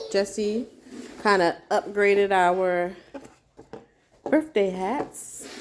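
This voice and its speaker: A woman speaks at a very slow pace with ordinary pitch variation. Long, frequent pauses run through her speech. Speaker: homeschooling mom vlogger. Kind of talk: casual vlog narration. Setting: home, in closet office. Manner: quiet, talking low.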